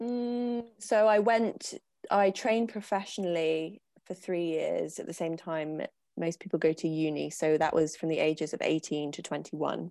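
A woman's voice with a dark, mellow tone comes through on a very clean recording with a silent background. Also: fairly low pitch for a woman, ordinary pitch variation, moderate pace. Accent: English. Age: 20s. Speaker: dancer and writer. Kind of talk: casual chat.

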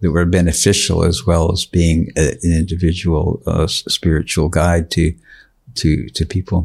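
The speech moves at a moderate pace with monotone, flat intonation and very even loudness. The voice is somewhat breathy. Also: man, very deep, low pitch for a man. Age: 70s. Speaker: yoga teacher. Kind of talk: interview. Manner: halting.

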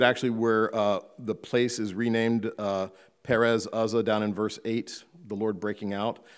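Recorded very cleanly against a silent background, a man speaks at medium pitch and a moderate pace with an American accent. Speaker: pastor. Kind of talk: sermon. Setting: church.

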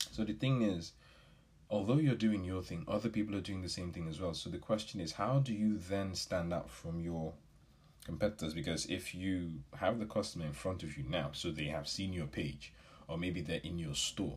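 A man speaks with a very deep, low pitch. He is somewhat breathy and keeps a moderate pace. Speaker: business podcast host. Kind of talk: solo podcast talk. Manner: casual, with filler words.

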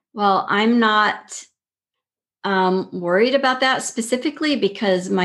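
Against a quiet background, a woman with an American accent speaks very slowly with lively intonation. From Texas, El Paso. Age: 50s. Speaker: yoga teacher. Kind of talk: casual interview.

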